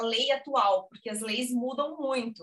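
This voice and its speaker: A woman talks at a moderate pace in a high pitch with ordinary pitch variation. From Brazil, Blumenau (Santa Catarina). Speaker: journalist, emigration website co-founder. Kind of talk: casual interview.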